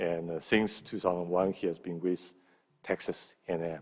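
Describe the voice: With a low pitch, a slightly mellow tone and a slightly husky edge, a man speaks at a moderate pace with little pitch movement.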